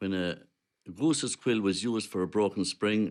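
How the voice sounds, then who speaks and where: Here a man speaks with a western Irish accent at a fairly quick pace. His pitch shows ordinary variation, and the recording is very clean with a silent background. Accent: western Irish (Clare). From Ireland, County Clare. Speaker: traditional musician. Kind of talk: documentary interview, reminiscing.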